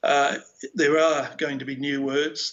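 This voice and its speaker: A man speaks at a moderate pace in a fairly high voice, his intonation flat and monotone. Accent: Australian. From Australia. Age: 60s. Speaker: philosopher. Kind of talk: keynote speech.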